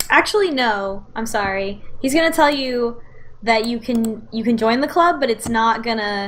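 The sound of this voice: Lively intonation over an unforced reading voice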